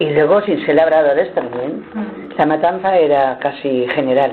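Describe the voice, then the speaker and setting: A woman speaks at a moderate pace. Noticeable background noise is audible behind her. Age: 80s+. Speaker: retired villager recalling traditions. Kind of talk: interview answer. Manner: hesitant, conversational.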